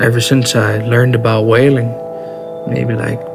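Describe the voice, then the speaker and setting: Music plays behind a man speaking with an American accent. He talks at a fairly slow pace. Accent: Alaskan Iñupiat English. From North Slope of Alaska, USA. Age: young. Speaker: carpenter, whaling crew member. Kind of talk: interview answer.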